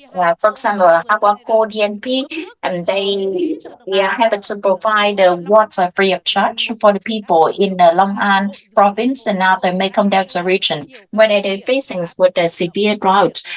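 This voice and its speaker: At a moderate pace, a woman with a Vietnamese accent talks at a medium pitch with ordinary pitch variation. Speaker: water sector association representative. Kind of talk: panel discussion. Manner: halting, many fillers.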